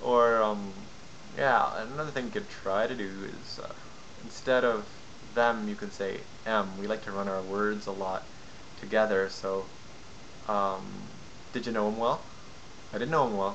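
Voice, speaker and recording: A moderate pace with fairly even intonation and long, frequent pauses, over noticeable background noise. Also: man, fairly low pitch for a man. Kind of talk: casual talk to camera, accent tutorial.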